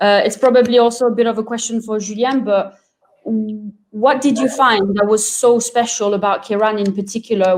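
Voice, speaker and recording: A woman speaks with a French accent at a moderate pace. Her intonation stays fairly even. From France. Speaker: wine product manager. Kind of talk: webinar interview.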